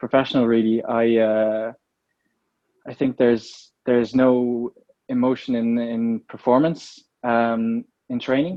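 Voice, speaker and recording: Someone with an Irish accent speaks at a fairly slow pace with fairly even intonation. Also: man, medium pitch for a man. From Ireland. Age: 20s. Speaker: professional slalom canoeist. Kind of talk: interview. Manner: hesitant, many fillers.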